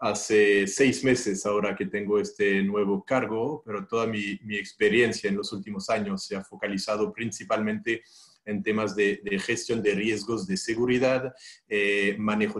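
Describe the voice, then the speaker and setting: A man with a French accent at a moderate pace, fairly low in pitch, with fairly even intonation. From France. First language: French (speaking Spanish). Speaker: risk consultant. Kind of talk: self-introduction. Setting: video call. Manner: hesitant, repeats words.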